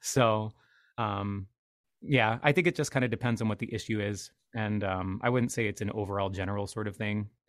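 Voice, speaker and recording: A man talks at a fairly quick pace with a fairly low pitch and fairly even intonation. The recording is very clean, with a silent background. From Washington State, US. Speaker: piano bar entertainer and actor. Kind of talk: casual chat. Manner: halting, many fillers.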